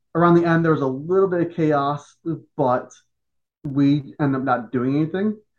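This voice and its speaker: Speaking with a Chicago accent, a man uses a fairly high pitch and ordinary pitch variation at a moderate pace, with long, frequent pauses. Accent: Chicago-area American. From Joliet, Illinois, US Midwest. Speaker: pro wrestling general manager and former referee, army veteran. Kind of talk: podcast interview.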